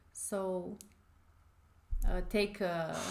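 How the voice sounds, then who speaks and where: A woman speaks in a dark, mellow tone. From Romania. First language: Romanian. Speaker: forex trading educator. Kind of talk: live trading tutorial stream. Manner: hesitant, many fillers.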